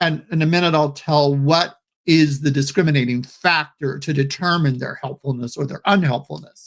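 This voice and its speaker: This man has an unremarkable speaking voice, fairly high in pitch with fairly even intonation, going at a moderate pace with hardly any pauses. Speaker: psychotherapist and trainer. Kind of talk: lecture. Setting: webinar.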